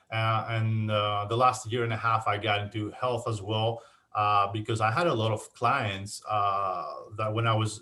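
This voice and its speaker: With a strong Greek accent, a man at a medium pitch has a bright, sharp tone and a moderate pace. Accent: thick Greek. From Greece, Athens. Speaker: insurance agent. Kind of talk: casual interview. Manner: halting, many fillers.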